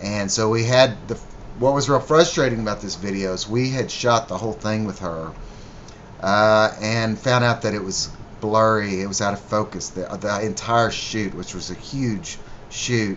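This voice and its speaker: A man speaks at a fairly low pitch. Noticeable background noise can be heard. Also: ordinary pitch variation, moderate pace. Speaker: musician. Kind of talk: video commentary. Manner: casual, halting with fillers.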